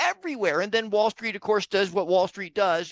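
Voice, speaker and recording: In a high pitch, a man talks with an American accent. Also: dry, close sound with no echo. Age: 60s. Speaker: real estate investor. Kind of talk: podcast interview.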